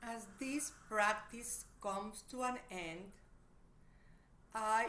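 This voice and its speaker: A woman speaks with a non-native accent in a bright, sharp tone. Audible room echo surrounds her voice. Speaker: therapist and meditation teacher. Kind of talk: online workshop talk; guided meditation. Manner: slow, gentle.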